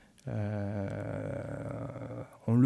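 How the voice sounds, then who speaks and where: A man speaks with a Marseille accent. His intonation is fairly even. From southern France, Marseille (Corsican roots). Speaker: historian and lecturer. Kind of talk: conference talk. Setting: conference hall with audience. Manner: hesitant, with frequent fillers and repetitions.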